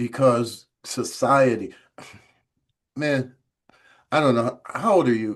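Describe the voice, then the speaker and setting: A man's medium-pitched voice with an American accent and ordinary pitch variation, at a very slow pace with long, frequent pauses. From Chicago. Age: 60s. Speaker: recovery organization founder. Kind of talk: podcast interview. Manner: animated.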